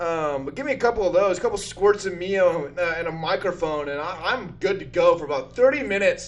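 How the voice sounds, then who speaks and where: Loud and animated, a man with a high pitch talks at a fairly quick pace with lively intonation and hardly any pauses. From northern Utah. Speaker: comedian and drummer. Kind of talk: casual chat.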